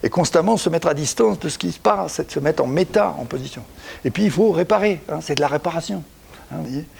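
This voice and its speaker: Using vocal fry, a man talks at a fairly quick pace in a fairly high voice that swings very widely in pitch. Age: 70s. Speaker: executive coach and author. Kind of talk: talk on coaching practice. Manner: halting, with frequent repetitions.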